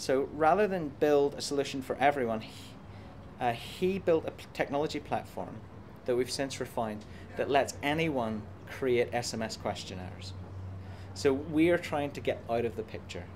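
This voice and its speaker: In an Irish accent, a man speaks at a medium pitch and moderate pace, with lively intonation and big swings in loudness. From Ireland. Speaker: computer science professor. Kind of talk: interview. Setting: conference.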